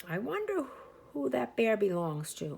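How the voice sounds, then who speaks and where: Using a put-on character voice, a woman talks at a moderate pace with fairly low pitch and very wide pitch swings. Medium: read story. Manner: warm, musing.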